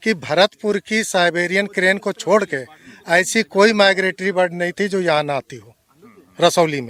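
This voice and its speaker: This man's voice sits at a high pitch with ordinary pitch variation, recorded with a dry, close sound with no echo. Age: 60s. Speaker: local birdwatcher. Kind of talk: interview.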